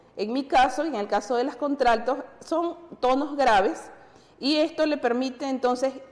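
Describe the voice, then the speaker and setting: The speech shows ordinary pitch variation against noticeable background noise. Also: woman. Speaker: TV music program co-host. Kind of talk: educational TV talk show.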